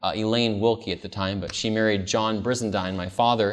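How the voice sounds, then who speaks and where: An unremarkable speaking voice with an American accent moves at a moderate pace. The intonation is fairly even, and the background is quiet. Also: man. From California, US. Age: 30s. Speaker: pastor. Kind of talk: camp-meeting seminar sermon with personal testimony, calling for amens. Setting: camp meeting with live congregation. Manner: earnest, warm, conversational with frequent um and uh fillers.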